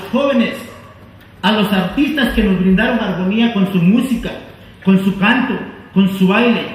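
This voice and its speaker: The speech comes at a fairly slow pace, with a Mexican accent. Noticeable background noise sits behind it. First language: Nahuatl (speaking Spanish). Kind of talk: formal closing speech. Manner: formal.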